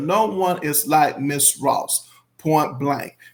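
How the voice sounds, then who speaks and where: This man speaks with a strong Southern US accent. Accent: thick Southern US. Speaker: YouTuber. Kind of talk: casual commentary reading viewer comments.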